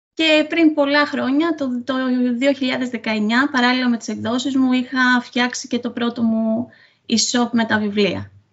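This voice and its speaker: With a high pitch and fairly even intonation, a woman is speaking. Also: fairly slow pace. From Crete, Sitia (Greece). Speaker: author. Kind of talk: interview. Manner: hesitant, many fillers.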